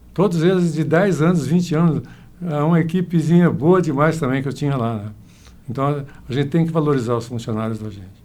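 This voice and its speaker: With a dark, mellow tone and a fairly high pitch, a man talks with ordinary pitch variation amid audible room echo. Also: fairly quick pace. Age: 80s+. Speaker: businessman and farmer. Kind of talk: interview.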